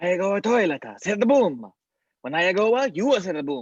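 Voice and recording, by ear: A man's put-on character voice in an Italian accent, high-pitched with big pitch swings, a slightly husky edge, and a moderate pace. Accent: exaggerated mock Italian.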